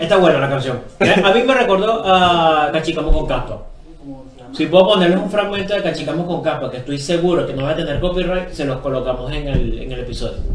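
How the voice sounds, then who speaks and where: A man's fairly high voice with ordinary pitch variation, at a fairly quick pace, amid audible room echo and noticeable background noise. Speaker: podcast co-host. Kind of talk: casual chat.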